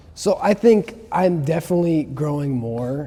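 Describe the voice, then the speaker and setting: Male speech, somewhat breathy, its pitch varying in an ordinary way. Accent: American. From Chicago area, US Midwest. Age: 20s. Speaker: martial arts student. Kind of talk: casual chat.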